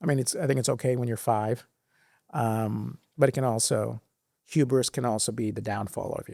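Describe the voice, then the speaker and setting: A dark, mellow tone with an American accent comes at a moderate pace over fairly even intonation. The recording is very clean, with a silent background. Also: man, medium pitch for a man. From Sri Lanka, then Singapore, US and India. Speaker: former finance executive. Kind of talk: interview. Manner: halting.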